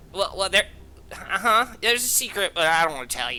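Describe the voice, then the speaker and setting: Someone performs a put-on character voice at a middle pitch. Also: fairly quick pace. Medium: actual play. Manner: halting, blurting.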